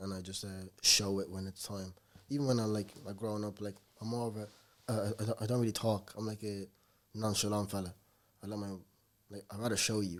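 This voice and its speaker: Talking at a fairly quick pace yet with long, frequent pauses, a man speaks at a fairly low pitch in a monotone, flat way. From Ireland, Dublin. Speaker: rapper. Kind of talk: podcast interview. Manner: casual, many fillers.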